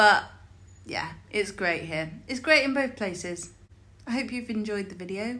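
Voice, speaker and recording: Bright and sharp in tone, a woman with an English accent speaks at a fairly slow pace and fairly high pitch with lively intonation. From England. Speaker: vlogger, expat in Italy. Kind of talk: casual vlog to camera.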